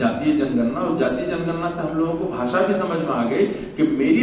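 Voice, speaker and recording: A man with a high pitch and very wide pitch swings, amid noticeable background noise and audible room echo. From Bihar, India (Araria district). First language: Khotta, a Bihari dialect (speaking Hindi). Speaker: professor. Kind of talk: speech at a university function.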